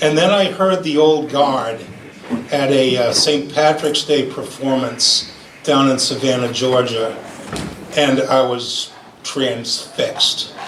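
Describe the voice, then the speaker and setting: In a Rhode Island accent, a man speaks at a very slow pace with a fairly high pitch, ordinary pitch variation and very even loudness, against audible room echo and noticeable background noise. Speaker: fifer and former army musician. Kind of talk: memorial speech. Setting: gathering after lunch with audience. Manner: halting, many fillers.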